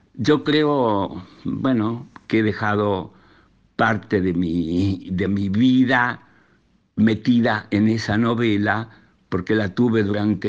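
A man's fairly low voice at a very slow pace with ordinary pitch variation. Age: 80s+. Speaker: novelist. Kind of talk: interview storytelling.

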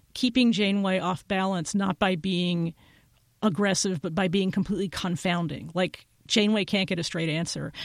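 Recorded very cleanly with a silent background and a dry, close sound with no echo, a woman with an unremarkable speaking voice talks at a moderate pace and medium pitch. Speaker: journalist and podcaster. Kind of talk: casual chat.

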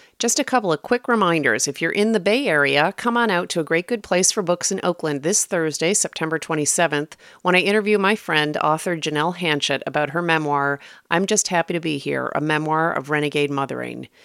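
A woman's ordinary speaking voice, fairly low in pitch with ordinary pitch variation, fairly quick with hardly any pauses, in a dry, close sound with no echo and a very clean, silent background. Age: 50s. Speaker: podcast host. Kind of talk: scripted narration; interview.

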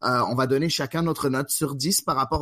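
At a moderate pace, a man speaks at a medium pitch with ordinary pitch variation and a bright, sharp tone. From Quebec, Montreal. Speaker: podcast host. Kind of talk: casual chat.

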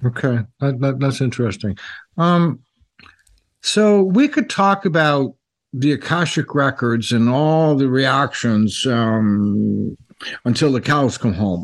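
A man's medium-pitched voice at a very slow pace, lively in intonation and very even in loudness. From Toronto, Canada. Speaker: psychic radio host. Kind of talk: casual interview conversation. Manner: halting, many fillers and repeats.

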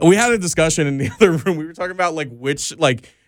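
A very fast man with an American accent and lively intonation, in a very clean recording with a silent background. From Pennsylvania. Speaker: podcast host. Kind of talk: casual chat. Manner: casual, profane.

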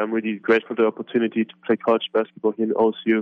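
A man speaks with a German accent. His pace is very fast. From Germany. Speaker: college basketball player.

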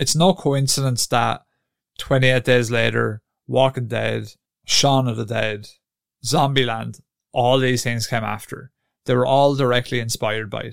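A man with a normal speaking voice talks at a moderate pace and medium pitch, keeping his intonation fairly even. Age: 30s. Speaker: video game podcast host. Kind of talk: solo podcast monologue. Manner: casual, conversational.

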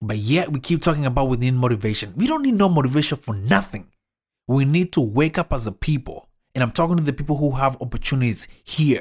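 A man with a fairly high pitch, a somewhat breathy, animated voice, lively intonation, and a very fast pace, on a very clean recording with a silent background. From developing country abroad. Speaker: motivational podcaster. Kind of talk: motivational monologue.

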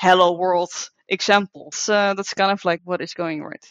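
A woman with an unremarkable speaking voice talks at medium pitch and a fairly quick pace. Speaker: robotics developer, PhD. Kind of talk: panel discussion.

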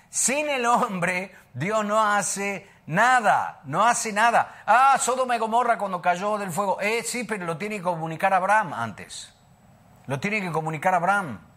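Speaking at a fairly slow pace, the voice is raised and projected, heard in a very clean recording over a silent background. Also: man, high pitch for a man, ordinary pitch variation. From Argentina, Buenos Aires. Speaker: preacher. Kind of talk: sermon. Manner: halting.

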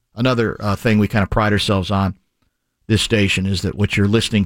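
A man with a plain, everyday voice speaks at a fairly low pitch with fairly even intonation, in a dry, close sound with no echo. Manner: fluent, expansive and wordy, with dry, playful humor.

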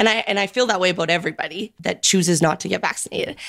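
A woman with an Albertan accent speaks at a fairly quick pace and fairly even intonation. The recording is very clean, with a silent background. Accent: Canadian (Alberta). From small-town Alberta, Canada (Sylvan Lake). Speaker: fitness studio co-owner and personal trainer. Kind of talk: interview conversation.

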